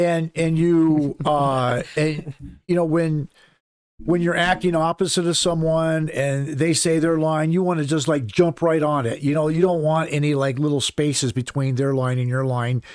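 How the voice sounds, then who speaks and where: A man talks at a moderate pace in a fairly high pitch. His intonation stays fairly even. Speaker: stunt show performer. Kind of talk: casual chat. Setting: live stream.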